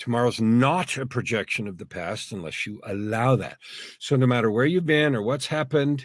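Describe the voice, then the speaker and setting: An ordinary speaking voice from a man, medium in pitch, with lively intonation at a moderate pace. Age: 60s. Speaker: executive, speaker and author. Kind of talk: inspirational interview.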